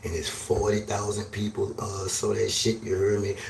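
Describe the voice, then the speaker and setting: Audible room echo and noticeable background noise accompany a man talking at a moderate pace. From New Orleans. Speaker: live streamer / podcast host. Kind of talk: casual monologue rant. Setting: livestream. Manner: aggressive, sounds like fussing.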